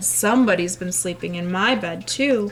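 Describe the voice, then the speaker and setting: A woman uses a raspy, put-on character voice at a medium pitch. Clear background noise can be heard. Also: moderate pace. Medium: read story.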